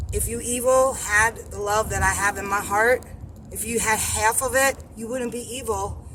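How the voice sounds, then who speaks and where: A woman's animated tone at a moderate pace, with big swings in loudness and noticeable background noise. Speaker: religious vlogger. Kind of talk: religious monologue vlog. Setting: in a car.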